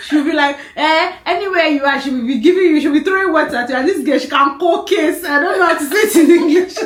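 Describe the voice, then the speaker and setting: Amid noticeable background noise and audible room echo, a woman with an extremely high pitch and an animated tone races at a very fast pace with ordinary pitch variation and hardly any pauses. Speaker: podcast guest, longtime friend of host. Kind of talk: casual chat.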